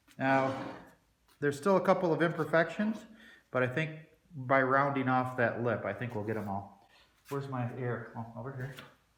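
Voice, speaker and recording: A man speaks at a moderate pace with long, frequent pauses. Room echo is audible. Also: medium pitch for a man, lively intonation. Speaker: DIY metalworking hobbyist. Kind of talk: workshop tutorial. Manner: loud.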